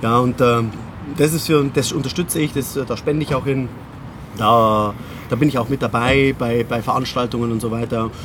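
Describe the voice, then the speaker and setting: A man at a moderate pace, fairly even intonation, long and frequent pauses, noticeable background noise. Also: medium pitch for a man. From Bavaria, Munich. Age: 40s. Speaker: memory trainer and keynote speaker. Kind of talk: casual interview.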